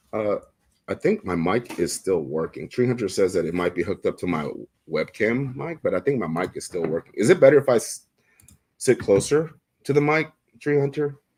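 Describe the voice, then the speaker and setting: Talking at a fairly quick pace, a man swings very widely in pitch, with vocal fry in his voice. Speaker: fishing tackle shop livestream host. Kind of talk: casual livestream chat. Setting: live stream, indoors.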